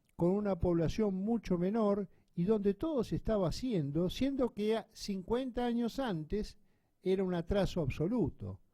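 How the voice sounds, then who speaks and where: Fairly slow delivery with a dark, mellow tone and ordinary pitch variation. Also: man, high pitch for a man. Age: old. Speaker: radio host. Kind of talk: casual chat.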